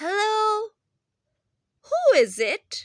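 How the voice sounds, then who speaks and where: A squeaky, female-sounding put-on character voice sits at an extremely high pitch. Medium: read story.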